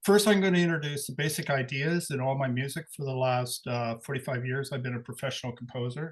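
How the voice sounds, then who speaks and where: Somewhat breathy male speech, pitch moving in a normal way. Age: 60s. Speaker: composer. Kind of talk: talk to a live audience. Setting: live event with audience. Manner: halting.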